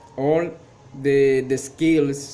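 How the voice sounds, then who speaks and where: A man speaks at medium pitch in a flat, monotone way. Audible room echo and noticeable background noise surround him. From Colombia, Cartagena. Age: 20s. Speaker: English student and teacher. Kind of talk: class presentation. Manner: halting, many fillers.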